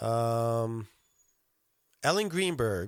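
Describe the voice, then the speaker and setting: Here a man is speaking. His intonation is lively. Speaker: podcast host. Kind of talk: casual solo podcast talk. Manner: halting, many fillers.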